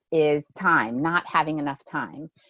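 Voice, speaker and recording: The woman's voice has a dry, close sound with no echo. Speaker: physical therapist and research scientist. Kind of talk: webinar Q&A. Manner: fast.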